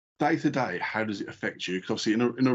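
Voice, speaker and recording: The man speaks at a medium pitch in a normal speaking voice. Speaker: podcast host. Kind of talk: podcast interview question.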